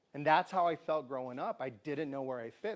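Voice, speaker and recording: A man with a plain, everyday voice, fairly high in pitch, at a fairly quick pace with ordinary pitch variation. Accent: American. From Tucson, Arizona. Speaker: community speaker and storyteller. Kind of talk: talk to a live audience. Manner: conversational.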